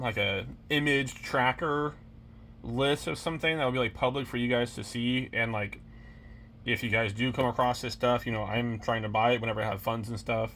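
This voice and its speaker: A man speaks at a medium pitch. His pace is moderate, with ordinary pitch variation. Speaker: YouTuber and reseller. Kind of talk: casual vlog. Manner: rambling.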